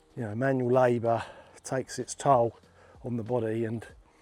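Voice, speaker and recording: A man with an English accent, medium pitch, monotone, flat intonation and a fairly quick pace. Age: 40s. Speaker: plasterer and fitness vlogger. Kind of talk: casual vlog talk. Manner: conversational with fillers.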